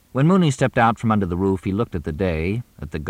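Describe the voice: Lively intonation marks this plain reading aloud.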